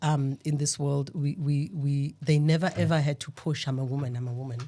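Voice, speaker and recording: A woman's very deep, low voice, dark and mellow and somewhat breathy, with fairly even intonation at a moderate pace on a very clean recording with a silent background. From rural Eastern Cape, South Africa. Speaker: panel guest. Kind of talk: podcast discussion. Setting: studio.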